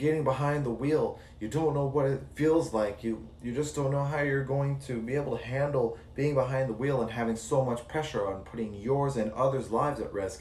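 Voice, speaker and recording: A man with a medium-pitched, somewhat breathy voice talks at a moderate pace with fairly even intonation. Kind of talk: serious talk to camera. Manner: stuttering.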